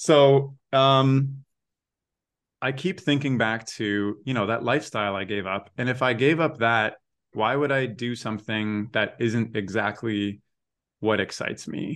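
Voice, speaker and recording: At a fairly slow pace, a man talks in a normal speaking voice with a medium pitch. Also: ordinary pitch variation. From Waterloo, Ontario, Canada. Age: 30s. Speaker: animator and podcast creator. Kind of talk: interview answers, casual chat.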